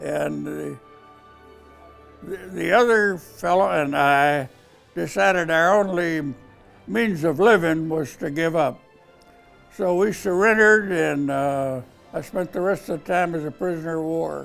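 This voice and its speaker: Over music in the background, a man with an American accent speaks at a fairly slow pace and fairly high pitch, with lively intonation and long, frequent pauses. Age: 80s+. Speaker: war veteran. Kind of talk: interview answer.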